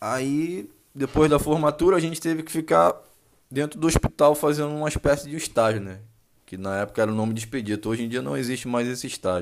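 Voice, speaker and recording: Talking at a very fast pace, a man with a medium-pitched voice swings widely between loud and soft. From Rio de Janeiro, Brazil. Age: 20s. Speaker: marine sergeant and podcast host. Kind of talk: casual monologue. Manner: casual, slangy.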